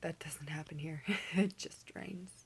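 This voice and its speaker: A woman speaks with an Alaskan accent at a fairly low pitch, with fairly even intonation. The recording is very clean, with a silent background. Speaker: commercial fisherman. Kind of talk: casual talk to camera.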